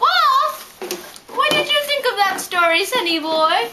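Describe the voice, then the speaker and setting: In a put-on character voice, the speaker moves at a fairly slow pace with very wide pitch swings. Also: female-sounding voice, extremely high pitch for a woman. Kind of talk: rhyming story reading.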